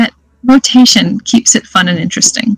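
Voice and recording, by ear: A woman's medium-pitched voice at a moderate pace, with ordinary pitch variation, vocal fry and a slightly husky edge, in a dry, close sound with no echo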